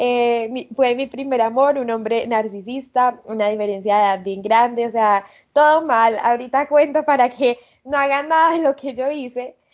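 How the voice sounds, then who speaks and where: A woman with a high voice speaks fairly slowly, her pitch varying in an ordinary way. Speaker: podcast host. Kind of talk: casual chat.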